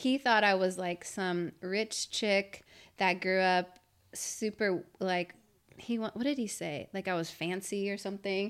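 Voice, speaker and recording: At a fairly slow pace, a normal speaking voice comes through on a very clean recording with a silent background. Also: woman, medium pitch for a woman, fairly even intonation. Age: 30s. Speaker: professional mountain biker. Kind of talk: casual chat. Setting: studio.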